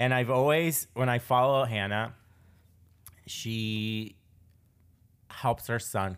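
Over a very clean recording with a silent background, a man speaks at a medium pitch with fairly even intonation. His pace is very slow, with long, frequent pauses. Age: 20s. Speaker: podcast host. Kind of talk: casual interview chat.

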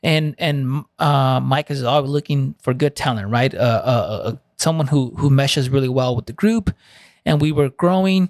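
A man with a Spanish accent, fairly high pitch, ordinary pitch variation, and a moderate pace, in a very clean recording with a silent background and a dry, close sound with no echo. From Southern California. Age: 30s. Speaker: Army Ranger veteran. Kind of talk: casual podcast interview. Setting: studio. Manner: casual, profane.

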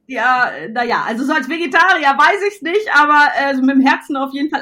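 A woman's raised, projected voice, high in pitch and bright and sharp in tone, animated, with lively intonation at a fairly quick pace. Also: hardly any pauses. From Westphalia, Germany. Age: 40s. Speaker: entrepreneur. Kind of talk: interview. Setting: at home with her dog.

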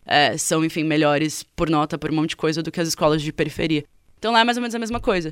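A woman's very deep, low voice with lively intonation at a very fast pace, in a very clean recording with a silent background. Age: 20s. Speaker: journalist. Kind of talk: radio interview.

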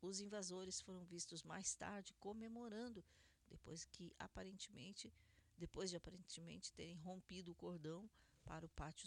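A woman's fairly low-pitched, normal speaking voice at a moderate pace. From Brazil, Curitiba, Paraná. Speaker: radio host. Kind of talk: news commentary radio show. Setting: studio, live radio broadcast.

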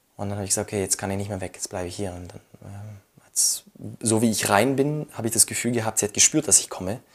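This man talks at a fairly low pitch with fairly even intonation. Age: 20s. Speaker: widower sharing personal story. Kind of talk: personal testimony interview.

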